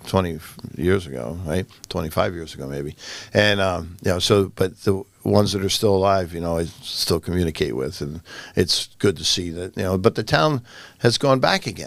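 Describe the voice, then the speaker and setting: A man with a very deep, low pitch and vocal fry speaks with lively intonation on a very clean recording with a silent background. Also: moderate pace. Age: 60s. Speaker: political candidate. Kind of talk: interview. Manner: halting.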